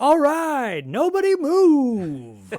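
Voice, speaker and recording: A man puts on a character voice. It sits at an extremely high pitch. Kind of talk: announcer style.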